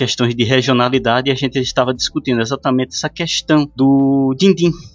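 A man's normal speaking voice at a medium pitch and fairly quick pace, with a dry, close sound and no echo. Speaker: podcast host. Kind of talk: casual chat.

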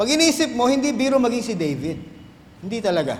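A man talks at a very fast pace with very wide pitch swings. Audible room echo surrounds the voice. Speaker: pastor. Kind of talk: sermon.

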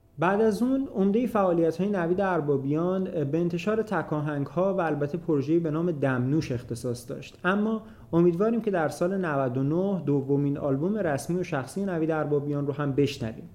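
The speech moves at a fairly quick pace with lively intonation and hardly any pauses, over noticeable background noise. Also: man, fairly high pitch for a man. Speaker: podcast host. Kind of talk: scripted narration.

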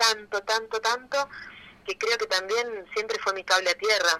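A woman talks at a medium speed. The tone of her voice is bright and sharp. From Argentina, Rosario. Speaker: illustrator and author. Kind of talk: interview.

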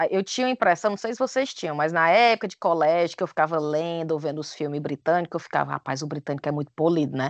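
A woman with a Cearense accent speaks very fast, with hardly any pauses. Her pitch is fairly low and her intonation is lively. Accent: Cearense Brazilian Portuguese. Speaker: podcaster. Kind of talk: casual chat.

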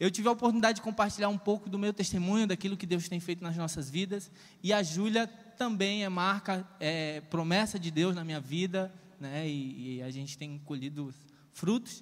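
Animated in tone, a man speaks at a high pitch with ordinary pitch variation. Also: moderate pace. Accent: northeastern Brazilian. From Ceará, Brazil (rural interior). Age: 30s. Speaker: preacher. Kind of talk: sermon. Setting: church.

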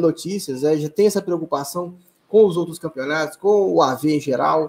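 With an unremarkable speaking voice, the speaker talks at a moderate pace with ordinary pitch variation. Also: man. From Brazil, Belo Horizonte. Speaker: sim racing league organizer and streamer. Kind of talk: casual interview.

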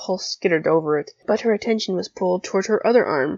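Against a quiet background, the text is read in an unforced reading voice.

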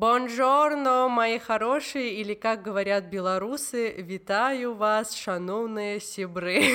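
A woman talks at a very slow pace. Her pitch is fairly high, with ordinary pitch variation. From Georgia. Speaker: podcast host. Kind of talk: casual interview.

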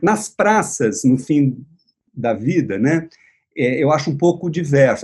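Somewhat breathy and fairly high-pitched, a man speaks with a dark, mellow tone and lively intonation. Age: 60s. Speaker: visual artist and writer. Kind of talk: casual chat. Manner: halting.

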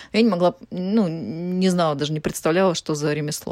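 The woman's voice comes through with a dry, close sound and no echo. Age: 30s. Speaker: chef and cooking instructor. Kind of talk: casual interview. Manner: halting, with many fillers.

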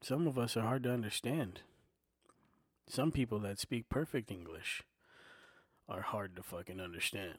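A man with a medium pitch speaks at a moderate pace with lively intonation and long, frequent pauses. The recording is very clean, with a silent background. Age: 40s. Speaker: podcaster and aspiring comedian. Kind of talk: casual solo monologue. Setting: home recording on a portable recorder. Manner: soft-spoken, filler-heavy; not loud, laid-back listener.

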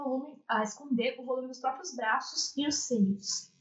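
This woman's voice sits high in pitch. Its variation in pitch is ordinary. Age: 20s. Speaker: image consultant. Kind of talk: casual interview.

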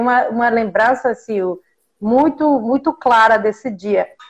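Lively in intonation, a woman with a Mexican accent speaks at a high pitch. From Mexico. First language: Spanish (speaking Portuguese). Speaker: professor. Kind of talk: interview. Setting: video call.

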